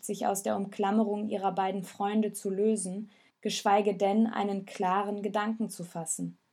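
A passage is read aloud plainly. There is nothing more to the delivery than that.

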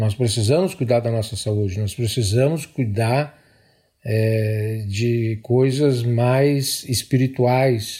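A man's medium-pitched voice, very slow, with fairly even intonation, in a very clean recording against a silent background. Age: 60s. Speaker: police officer. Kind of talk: testimony.

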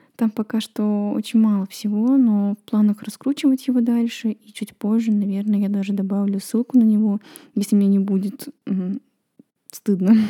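A woman speaks at a moderate pace in a fairly high, somewhat breathy voice with a dark, mellow tone. Her intonation is monotone and flat, and the sound is dry and close with no echo. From Estonia, Kohtla-Järve. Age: 20s. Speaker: podcaster. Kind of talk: personal monologue.

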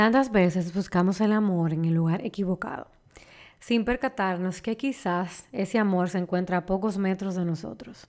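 On a very clean recording with a silent background, a woman with a Dominican accent speaks at a moderate pace and medium pitch with ordinary pitch variation. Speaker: podcast host. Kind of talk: scripted intro.

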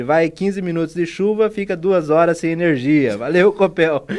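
A man with a high pitch speaks at a moderate pace with hardly any pauses. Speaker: radio host. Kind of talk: radio talk show hosting. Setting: radio studio.

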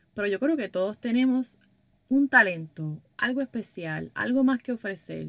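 A woman of fairly high pitch, animated in tone with lively intonation, at a fairly slow pace in a dry, close sound with no echo. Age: 20s. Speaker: podcaster and workshop leader for women entrepreneurs. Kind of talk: casual monologue.

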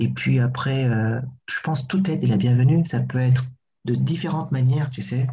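Amid audible room echo, a man with a medium pitch and a dark, mellow, somewhat breathy tone speaks at a fairly quick pace with ordinary pitch variation and long, frequent pauses. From Burundi, Bujumbura. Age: 30s. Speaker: actor and theatre director. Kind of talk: casual interview. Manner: hesitant, many fillers.

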